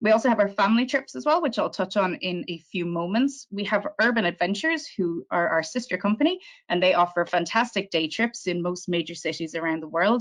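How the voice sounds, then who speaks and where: Against a quiet background, a woman with an Irish accent talks fairly quickly at a medium pitch with ordinary pitch variation. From Ireland. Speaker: tour operator representative. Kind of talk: sales presentation. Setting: virtual presentation.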